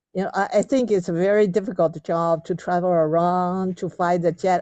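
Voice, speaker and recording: Against a quiet background, a woman with a Taiwanese accent speaks at a fairly slow pace and medium pitch, her tone dark and mellow and her intonation fairly even. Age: 70s. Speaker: reading club leader. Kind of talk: group discussion. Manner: halting.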